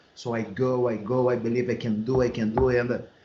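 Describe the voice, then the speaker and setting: Heard with audible room echo, a man talks at a moderate pace and a medium pitch. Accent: Brazilian Portuguese. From Brazil. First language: Portuguese. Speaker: MMA and boxing coach. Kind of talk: podcast interview.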